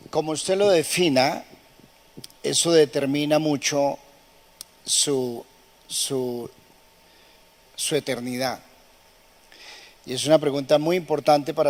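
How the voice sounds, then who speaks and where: A man talks at a fairly slow pace in a fairly high pitch with fairly even intonation. Noticeable background noise runs underneath. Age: 80s+. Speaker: pastor. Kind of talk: sermon.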